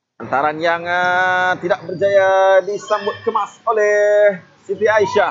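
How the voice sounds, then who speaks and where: A man with a Malaysian accent, high-pitched, at a very slow pace with fairly even intonation and very even loudness. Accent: Malaysian Malay. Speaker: futsal match commentator. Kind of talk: live sports commentary.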